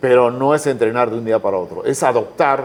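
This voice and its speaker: Speaking at a fairly slow pace, a man keeps a medium pitch with ordinary pitch variation. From Peru. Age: 60s. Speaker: entrepreneur. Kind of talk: interview conversation. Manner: animated.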